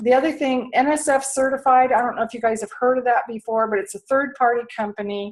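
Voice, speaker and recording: On a very clean recording with a silent background, a woman talks in a high voice with ordinary pitch variation. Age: 60s. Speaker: health and lifestyle coach. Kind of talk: sales pitch.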